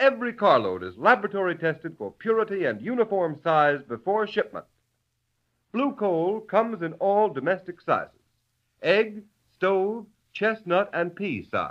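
His pitch is high for a man, with ordinary variation. The man talks at a moderate pace. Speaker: radio announcer. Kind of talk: sponsor commercial and announcements, formal announcer delivery. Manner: smooth, formal, persuasive, polished.

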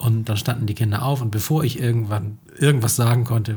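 A man with a fairly low pitch speaks at a moderate pace with fairly even intonation. His tone is dark and mellow, and somewhat breathy. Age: 30s. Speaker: teacher and podcast co-host. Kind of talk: casual chat.

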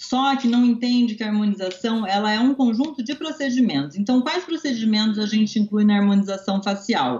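Speaking at a moderate pace with hardly any pauses, a woman uses lively intonation in a fairly high, somewhat breathy voice. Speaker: dentist. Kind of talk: interview.

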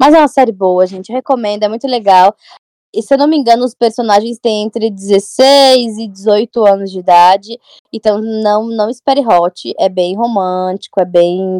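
The voice has a dark, mellow tone with ordinary pitch variation at a moderate pace. The sound is dry and close, with no echo. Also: woman, fairly high pitch for a woman. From São Paulo, Brazil. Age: 20s. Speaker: bookstagrammer. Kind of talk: casual chat.

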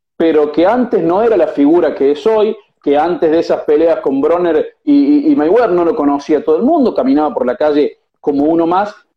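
A high-pitched man talks at a fairly quick pace with lively intonation. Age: young. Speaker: boxing journalist. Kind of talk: interview.

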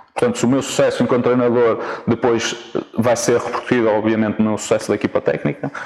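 A man talks at a very fast pace with very even loudness. Noticeable background noise is present. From northern Portugal, Vila Nova de Famalicão. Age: young. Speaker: football coach. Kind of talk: interview. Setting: outdoors in a city park. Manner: halting, frequent repetitions.

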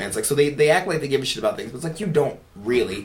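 A man with an American accent speaks with lively intonation. Audible room echo and noticeable background noise accompany him. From Philadelphia. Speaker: podcast co-host. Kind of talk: casual chat. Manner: animated.

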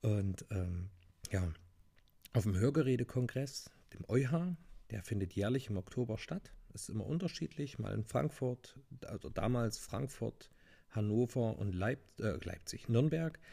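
A man speaks at a fairly slow pace and a medium pitch, with lively intonation and long, frequent pauses. His dark, mellow tone is somewhat breathy. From Thuringia, Germany (near Jena). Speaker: hearing aid acoustician. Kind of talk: solo podcast monologue.

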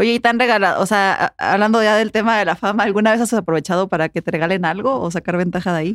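Very fast with hardly any pauses, a woman's medium-pitched voice comes through in a very clean recording with a silent background. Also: ordinary pitch variation, dry, close sound with no echo. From Puebla, Mexico. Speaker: podcast host. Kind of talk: casual interview.

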